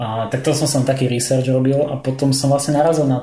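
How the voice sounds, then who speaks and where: A man's somewhat breathy, dark, mellow tone at a fairly high pitch, with audible room echo. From Slovakia. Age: 30s. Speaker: visual effects compositor. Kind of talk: casual interview chat. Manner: halting, many fillers.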